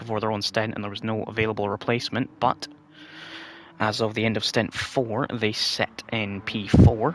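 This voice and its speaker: A man speaks quietly in a fairly low pitch. His intonation is monotone and flat, and his pace is moderate. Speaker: sim racing commentator. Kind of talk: live commentary. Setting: home livestream at night.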